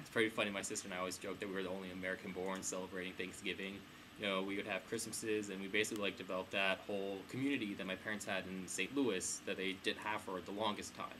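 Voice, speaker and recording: With a Midwestern accent, a man rattles along at a very fast pace with hardly any pauses in a monotone, flat intonation. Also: fairly low pitch for a man. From US Midwest, Kansas (Wichita). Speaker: student interviewee. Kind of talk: interview.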